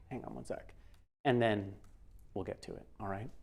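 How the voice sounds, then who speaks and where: Someone with an American accent talks at a fairly quick pace with ordinary pitch variation, and audible room echo is present. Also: man. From New York. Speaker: software trainer and sound designer. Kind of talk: lecture. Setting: classroom with live audience and livestream. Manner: animated.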